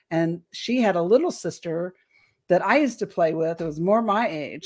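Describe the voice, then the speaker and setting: A woman with an unremarkable speaking voice, medium pitch and ordinary pitch variation at a moderate pace, on a very clean recording with a silent background. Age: 60s. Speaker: alien abduction experiencer and author. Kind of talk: interview testimony.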